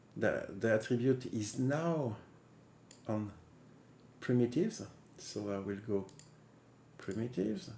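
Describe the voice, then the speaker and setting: Long, frequent pauses interrupt delivery that proceeds at a fairly slow pace. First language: not English. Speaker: 3D software tutorial maker. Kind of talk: software tutorial. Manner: halting, with many fillers and restarts.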